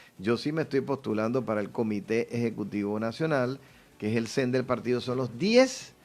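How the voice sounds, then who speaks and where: On a very clean recording with a silent background, this man uses a normal speaking voice, pitched medium, moving at a moderate pace, and his pitch shifts in an ordinary way. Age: 60s. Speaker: politician running for party office. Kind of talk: radio interview.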